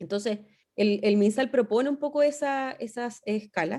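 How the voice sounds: The voice has a dark, mellow tone, ordinary pitch variation and a fairly slow pace. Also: woman, fairly high pitch for a woman.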